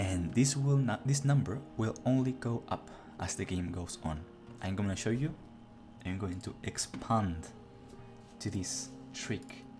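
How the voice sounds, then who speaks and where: With music in the background, a man of medium pitch speaks with lively intonation and long, frequent pauses. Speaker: gaming guide creator. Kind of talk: gameplay tutorial narration. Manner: casual.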